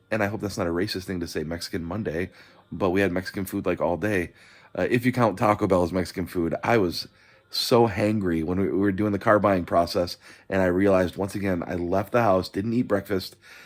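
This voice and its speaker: In a very clean recording with a silent background, a man speaks at a fairly quick pace in a very deep, low voice with fairly even intonation. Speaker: vlogger. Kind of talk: casual vlog monologue. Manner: monotone; halting, many fillers and repeats.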